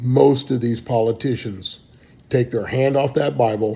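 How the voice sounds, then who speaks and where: A somewhat breathy voice with a dark, mellow tone and an American accent, at a fairly slow pace with fairly even intonation. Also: man. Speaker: political candidate. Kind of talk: campaign speech.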